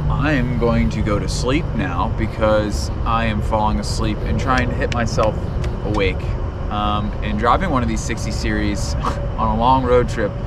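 Loud noise fills the background as a man talks in a dry recording with no echo. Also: moderate pace. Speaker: road trip vlogger. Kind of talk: casual vlog chat. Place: car. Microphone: camera far.

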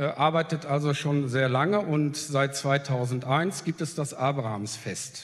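A somewhat breathy man talks at a fairly high pitch. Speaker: festival organizer. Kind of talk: panel statement.

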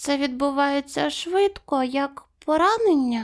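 This put-on character voice sits at a high pitch and moves at a fairly slow pace. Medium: read story.

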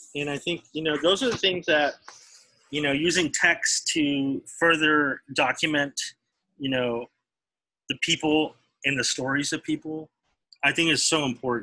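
Against a quiet background, a man with an American accent talks at a fairly slow pace in a bright, sharp tone, with long, frequent pauses. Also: fairly high pitch for a man, fairly even intonation. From Texas. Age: 40s. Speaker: artist; teacher. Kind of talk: casual chat; interview answer. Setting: video call. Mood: relaxed, reflective. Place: studio. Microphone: video call.

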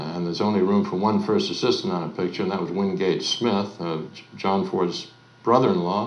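The speech moves at a moderate pace with ordinary pitch variation, and the room echo is audible. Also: man. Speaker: interviewee. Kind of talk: interview answer. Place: home room.

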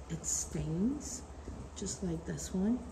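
Noticeable background noise is heard throughout. A woman speaks at a very slow pace. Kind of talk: casual vlog chat. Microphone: phone near.

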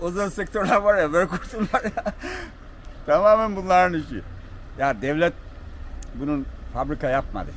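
A high-pitched man at a moderate pace, ordinary pitch variation and long, frequent pauses, in a dry sound with no echo over light background noise. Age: 50s. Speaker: tea farmer. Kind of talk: interview. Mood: cheerful, opinionated. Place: street. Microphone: phone near.

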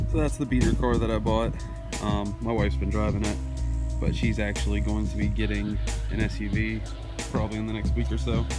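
Loud music fills the background while a man speaks at a fairly quick pace. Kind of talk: casual vlog chat. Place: open country. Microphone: phone near.

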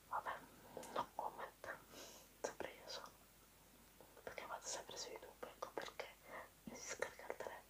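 Whispering at a moderate pace, a woman leaves long, frequent pauses over noticeable background noise. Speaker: ASMR video creator. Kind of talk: ASMR whispered chat to camera. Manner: whispered, soft-spoken, intimate.

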